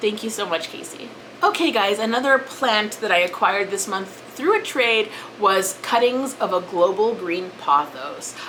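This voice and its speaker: Noticeable background noise accompanies a woman speaking at a moderate pace with a fairly high pitch and lively intonation. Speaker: plant YouTuber. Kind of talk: casual vlog talk. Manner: hesitant, with fillers and restarts.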